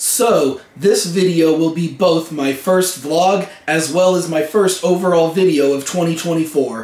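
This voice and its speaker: A man's high-pitched voice at a fairly slow pace, hardly any pauses, ordinary pitch variation, and noticeable background noise behind it. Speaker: vlogger. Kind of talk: casual vlog talk.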